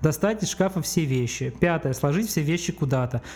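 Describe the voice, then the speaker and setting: Somewhat breathy, a man speaks with a dark, mellow tone. His pitch is fairly high, with ordinary variation. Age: 30s. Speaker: video producer. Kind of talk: casual chat. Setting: studio.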